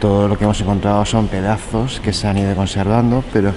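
Man with fairly even intonation against noticeable background noise. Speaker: travel vlogger. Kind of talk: casual vlog commentary. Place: church. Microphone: phone near.

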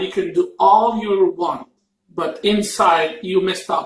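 A high-pitched man with an Arabic accent at a fairly slow pace, ordinary pitch variation, and audible room echo. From Egypt, Cairo. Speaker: mukbang YouTuber. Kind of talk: casual chat. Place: home room. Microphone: camera far.

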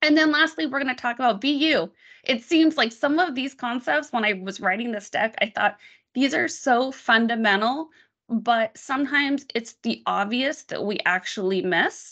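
A woman's loud, high-pitched voice, bright and sharp in tone, with lively intonation at a moderate pace against a quiet background. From Las Vegas, Nevada. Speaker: tech product marketing manager; guest. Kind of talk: presentation on a video call. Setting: video call. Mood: earnest, reflective. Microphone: video call.

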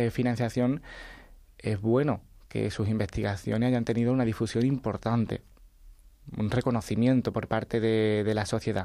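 A man speaks in a flat monotone with a dark, mellow tone, keeping his loudness very even and leaving long, frequent pauses against a quiet background. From Andalusia, Chiclana (Cádiz); Andalusia. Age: 20s. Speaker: science writer; interview guest. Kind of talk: radio interview. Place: studio.

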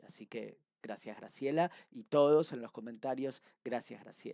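Speech moves at a fairly slow pace over a quiet background. The sound is dry with no echo. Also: man. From Argentina. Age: 30s. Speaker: book reviewer. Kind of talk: book review monologue. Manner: hesitant with frequent fillers. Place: home room. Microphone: headset.

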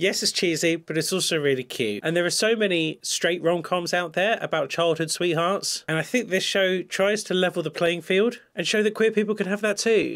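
With a British accent, a man speaks at a moderate pace with hardly any pauses, his high voice showing ordinary pitch variation and very even loudness against a quiet background. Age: 30s. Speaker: psychiatrist and YouTuber; YouTuber. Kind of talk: reaction video commentary. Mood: warm, wry. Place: home room.

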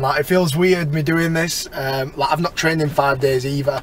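Over light background noise, a man speaks at a moderate pace with monotone, flat intonation, and the sound is dry with no echo. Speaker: fitness vlogger. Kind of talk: casual vlog chat. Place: car. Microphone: phone near.

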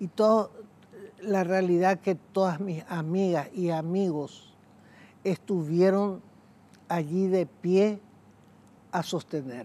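Her tone dark and mellow, a woman talks at a very slow pace with ordinary pitch variation and long, frequent pauses. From Paraguay. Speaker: guest's mother; interview guest. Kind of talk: interview. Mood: reflective, emotional. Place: studio. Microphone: lapel.

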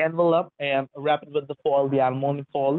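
Moderate-paced speech from a man in a monotone, flat intonation, dry with no echo, over a quiet background. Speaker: phone scammer. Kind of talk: scam phone call. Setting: phone call. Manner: halting. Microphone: phone line.

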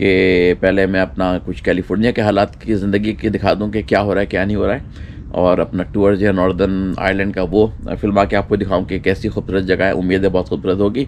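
Amid light background noise, a man with a very deep, low voice talks with hardly any pauses and fairly even intonation. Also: moderate pace. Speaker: travel vlogger. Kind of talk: casual vlog chat. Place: street. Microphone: camera far.

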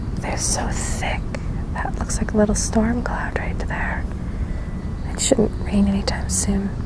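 The delivery comes at a fairly slow pace. Loud background noise fills a dry sound with no echo. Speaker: ASMR video creator. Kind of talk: ASMR roleplay, gentle guided sky-watching. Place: garden. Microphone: handheld.

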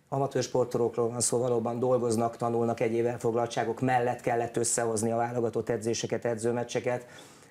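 Speaking at a very fast pace with hardly any pauses, a man delivers his words in a dark, mellow tone with monotone, flat intonation. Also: very even loudness. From Hungary. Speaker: national team coach. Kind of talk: interview. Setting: studio. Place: studio. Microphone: lapel.

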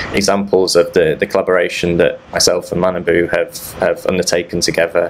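This man keeps a moderate pace while noticeable background noise carries on behind him. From UK. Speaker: threat researcher. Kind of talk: conference talk. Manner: halting, many repeated words.

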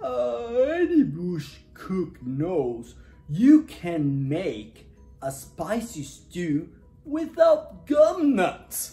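A put-on character voice with a dark, mellow tone moves at a very slow pace through big pitch swings while faint music plays behind it.

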